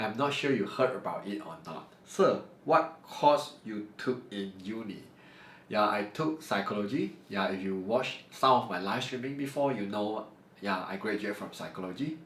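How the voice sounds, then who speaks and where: A man speaks at a moderate pace with fairly low pitch and lively intonation. His loudness swings widely, and room echo is audible. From Malaysia, Johor (Segamat). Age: 30s. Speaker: math teacher. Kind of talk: Q&A talk to camera. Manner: unscripted, somewhat halting.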